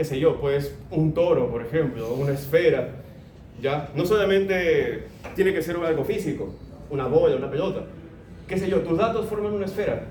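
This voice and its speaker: The voice shows ordinary pitch variation. Noticeable background noise and audible room echo are both present. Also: man, high pitch for a man, moderate pace. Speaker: lecturer. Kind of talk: lecture.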